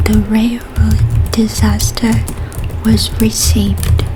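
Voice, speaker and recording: A soft-spoken woman talks at a very slow pace over noticeable background noise. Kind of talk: short story reading.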